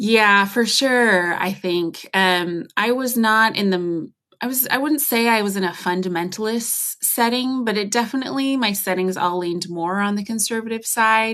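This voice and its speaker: A woman with an American accent, an ordinary speaking voice and ordinary pitch variation, at a moderate pace with hardly any pauses against a quiet background. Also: fairly high pitch for a woman. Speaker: former church worship ministry worker. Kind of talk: podcast interview. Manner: casual, many fillers.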